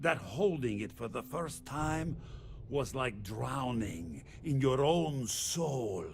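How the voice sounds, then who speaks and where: A man performs in a put-on character voice. His tone is theatrical. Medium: video game. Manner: theatrical, smooth, mocking.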